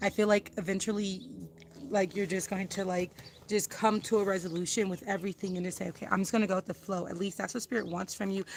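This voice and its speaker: At a very fast pace, a woman talks with medium pitch and fairly even intonation. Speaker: tarot card reader. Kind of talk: tarot reading to viewers. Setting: outdoors.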